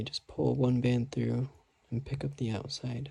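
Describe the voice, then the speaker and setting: Soft-spoken, a man speaks at a fairly slow pace and a medium pitch, keeping his intonation fairly even. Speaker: craft tutorial maker. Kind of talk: tutorial. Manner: quiet, soft-spoken; casual.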